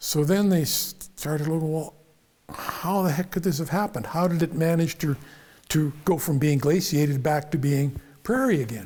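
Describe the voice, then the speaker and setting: This man has a fairly high pitch and a western Canadian accent. He talks at a moderate pace with ordinary pitch variation. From western Canada (prairies). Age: 70s. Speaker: engineer / mentor interviewee. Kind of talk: casual chat. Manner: animated; halting, repeats words.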